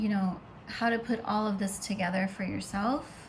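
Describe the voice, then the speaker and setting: Her medium-pitched voice marks a woman speaking with monotone, flat intonation. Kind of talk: casual monologue to camera. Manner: loud.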